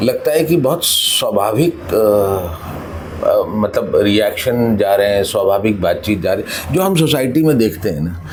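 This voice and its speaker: Here a man talks with a Punjabi accent. Audible room echo and noticeable background noise fill the recording. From Gwalior, Madhya Pradesh, India. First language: Punjabi (speaking Hindi). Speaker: actor. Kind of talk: interview. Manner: hesitant, many fillers.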